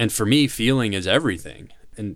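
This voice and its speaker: In a very clean recording with a silent background, a man with a normal speaking voice and an American accent talks at a moderate pace in a fairly low pitch. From US South, Nashville, Tennessee. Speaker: company founder. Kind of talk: interview.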